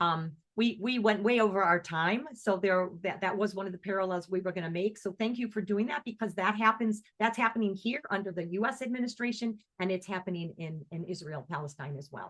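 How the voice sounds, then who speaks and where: A woman with a plain, everyday voice talks at a medium pitch and a fairly quick pace, with ordinary pitch variation and hardly any pauses. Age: 60s. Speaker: singer and music teacher, activist. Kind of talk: online presentation Q&A. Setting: video call.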